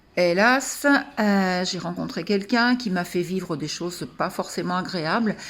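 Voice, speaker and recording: A woman with a medium-pitched voice speaks fairly slowly, using ordinary pitch variation. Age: 60s. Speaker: coaching client. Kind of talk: testimony. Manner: halting.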